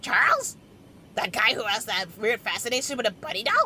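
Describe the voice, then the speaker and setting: In a put-on character voice, a woman speaks at a fairly quick pace with a fairly high pitch. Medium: machinima. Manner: brash, impatient.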